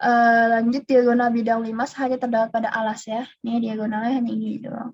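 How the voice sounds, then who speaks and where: A woman with a fairly high pitch races along at a very fast pace in a monotone, flat intonation. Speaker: volunteer math tutor. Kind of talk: tutorial. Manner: casual.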